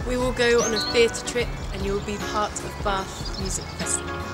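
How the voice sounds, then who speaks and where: A woman talks at a moderate pace while loud music plays in the background. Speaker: spoken word artist. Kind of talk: promotional introduction to camera. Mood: calm, encouraging. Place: forest.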